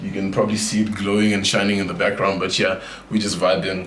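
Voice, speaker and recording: A man's voice with audible room echo and noticeable background noise. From South Africa, Johannesburg. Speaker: gamer and streamer. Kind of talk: casual room tour. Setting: indoors, bedroom. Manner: loud.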